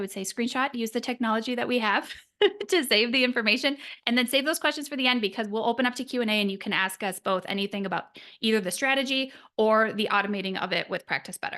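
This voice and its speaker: A woman's bright, sharp tone at a very fast pace, quiet background. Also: fairly high pitch for a woman, ordinary pitch variation. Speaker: business coach for nutritionists. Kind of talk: webinar presentation.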